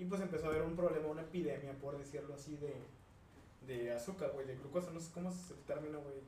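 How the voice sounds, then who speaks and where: A man speaks very fast at a fairly high pitch with fairly even intonation. Noticeable background noise and audible room echo surround him. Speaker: podcast host. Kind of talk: casual chat.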